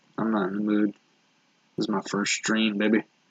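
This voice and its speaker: A man speaks quietly. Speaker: animator streaming his drawing work. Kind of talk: casual live stream commentary. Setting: live stream at home late at night. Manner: talking very quietly; subdued, holding back energy.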